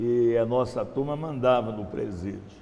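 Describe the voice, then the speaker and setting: The speech has lively intonation, and audible echo fills the room. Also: man. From Brazil, Minas Gerais. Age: 70s. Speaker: missionary. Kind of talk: testimony. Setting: church.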